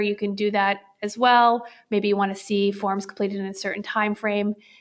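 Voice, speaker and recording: The woman talks at a fairly quick pace. Her pitch is fairly high. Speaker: software product demonstrator. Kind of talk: live product demo webinar. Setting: webinar. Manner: fast.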